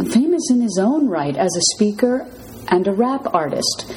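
A woman talks at a fairly slow pace, her pitch swinging very widely. Noticeable background noise sits behind her. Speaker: podcast host. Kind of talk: casual interview.

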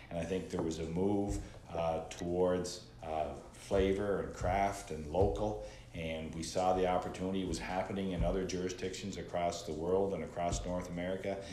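A man speaks at a very deep, low pitch and a moderate pace, with fairly even intonation. Audible room echo and noticeable background noise come through. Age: 50s. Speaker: entrepreneur and former school principal. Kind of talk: casual interview. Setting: studio.

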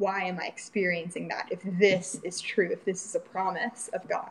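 Noticeable background noise sits behind a woman with an American accent. Her medium-pitched voice moves at a moderate pace in monotone, flat intonation. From Florida. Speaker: churchgoer sharing faith story. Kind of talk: testimony. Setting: remote call.

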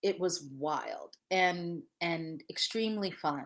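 Her pitch varies in an ordinary way as this woman speaks with an American accent. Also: very clean recording, silent background. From Ohio. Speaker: journalism fellowship director. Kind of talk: interview.

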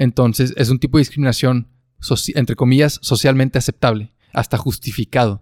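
A man with a northern Mexican accent speaks at a fairly quick pace and a medium pitch, with very even loudness and fairly even intonation. The sound is dry and close, with no echo. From northern Mexico. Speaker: podcast co-host and editor. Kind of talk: casual chat.

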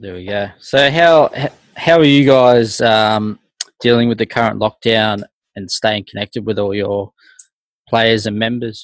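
Speaking in an Australian accent, a man at medium pitch goes at a fairly slow pace with long, frequent pauses and ordinary pitch variation, the sound dry and close with no echo. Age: 30s. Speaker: podcast host. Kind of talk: casual interview.

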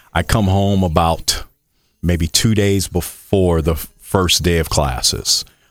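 Speaking with an American accent, a man uses a very deep, low pitch and ordinary pitch variation. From Michigan City, Indiana, US Midwest. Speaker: college track and cross country coach. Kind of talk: casual interview.

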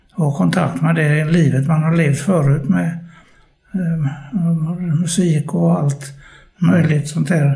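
This man's pitch is fairly high with ordinary variation, and his loudness stays very even. He talks at a very slow pace, with audible room echo. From Gothenburg, Sweden (Hisingen). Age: 80s+. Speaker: care home resident. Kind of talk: casual interview. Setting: short-term care home. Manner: halting.

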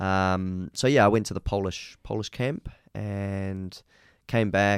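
The recording is very clean, with a silent background. A man with a New Zealand accent speaks at a fairly low pitch. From New Zealand, Auckland. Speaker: martial arts champion. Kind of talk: casual interview. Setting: studio.

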